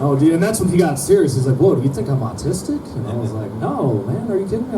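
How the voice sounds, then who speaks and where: A man with an American accent talks at a very fast pace, his pitch swinging very widely. Audible room echo and noticeable background noise surround him. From Minnesota, small town. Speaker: comedian. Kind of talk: stand-up. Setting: stage with audience.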